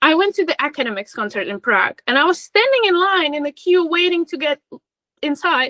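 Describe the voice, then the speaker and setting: In a raised, projected voice, a woman speaks fairly quickly at an extremely high pitch, her tone bright and sharp and her pitch swinging very widely, the sound dry and close with no echo. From Czech Republic. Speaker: fan account admin. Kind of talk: casual chat.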